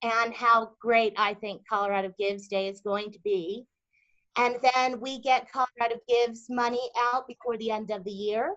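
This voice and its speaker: Her loudness rising and falling sharply, a woman speaks at a fairly high pitch and a moderate pace. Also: fairly even intonation. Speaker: nonprofit fundraising program presenter. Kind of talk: webinar presentation.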